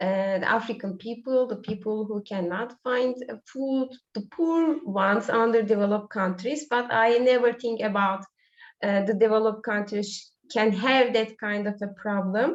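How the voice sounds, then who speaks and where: A woman with a fairly high pitch and a Turkish accent, at a moderate pace. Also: ordinary pitch variation. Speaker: school teacher. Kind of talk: online webinar chat. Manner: hesitant, many fillers.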